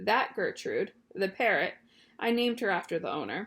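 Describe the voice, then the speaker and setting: Putting on a character voice, a woman mumbles at a moderate pace in a fairly high pitch. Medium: read story. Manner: hesitant, mumbling.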